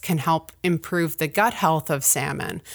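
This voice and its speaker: Recorded very cleanly over a silent background, a woman with a Canadian accent and an unremarkable speaking voice talks at a moderate pace, her fairly low pitch showing ordinary variation. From Ontario, Canada. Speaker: university professor and researcher. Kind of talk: interview.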